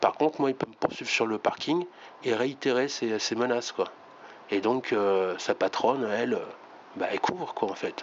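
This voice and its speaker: A man speaking at a moderate pace. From France, Reims. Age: 50s. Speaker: YouTuber. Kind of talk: video monologue. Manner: halting, many fillers.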